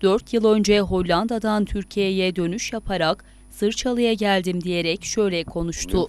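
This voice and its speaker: Speaking fairly slowly, a woman uses a medium pitch. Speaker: news reporter. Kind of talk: news narration.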